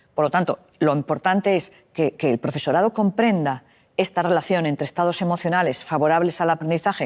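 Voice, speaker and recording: In a plain, everyday voice, a woman speaks at a fairly quick pace with a fairly low pitch and a dry, close sound with no echo. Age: 60s. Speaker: psychologist. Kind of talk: interview.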